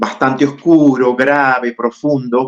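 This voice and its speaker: A man speaks at a very slow pace. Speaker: actor and acting teacher. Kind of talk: podcast interview.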